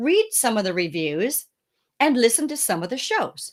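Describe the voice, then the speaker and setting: A woman with an ordinary speaking voice talks with lively intonation. The recording is very clean, with a silent background. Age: 60s. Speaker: founder of a speaker and podcast guest booking agency. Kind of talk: interview. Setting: podcast interview.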